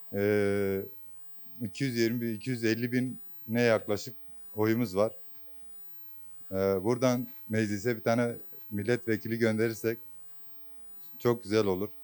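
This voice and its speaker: A man of medium pitch talks fairly slowly in a monotone, flat way, with long, frequent pauses. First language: Kurdish (speaking Turkish). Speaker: voter interviewed on the street. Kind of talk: street interview. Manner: hesitant, many fillers.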